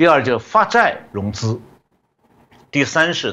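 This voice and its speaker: Speaking at a fairly slow pace, the voice has a bright, sharp tone, vocal fry, and very wide pitch swings. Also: man. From China. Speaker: economist. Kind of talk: interview analysis.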